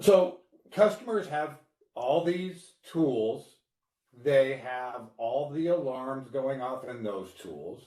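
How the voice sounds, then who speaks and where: A man speaks at a very slow pace. His intonation is lively. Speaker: cybersecurity director. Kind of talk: webinar panel discussion. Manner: loud and slow, deliberately.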